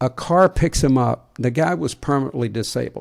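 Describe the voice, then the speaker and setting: This man talks at a fairly quick pace, with medium pitch and ordinary pitch variation. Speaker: podcast co-host and leadership author. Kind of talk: casual chat with storytelling. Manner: soft-spoken.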